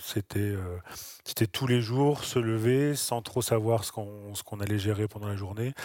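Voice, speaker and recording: A man speaks at a fairly low pitch with fairly even intonation, recorded very cleanly against a silent background in a dry, close sound with no echo. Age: 40s. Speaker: nurse. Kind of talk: interview. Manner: halting, with frequent repetitions and fillers.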